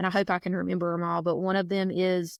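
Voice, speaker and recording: A woman with a South Georgia accent in a very clean recording over a silent background. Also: dry, close sound with no echo. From South Georgia, US (Baxley). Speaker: foster and adoptive mother, coffee shop owner. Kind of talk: casual interview chat.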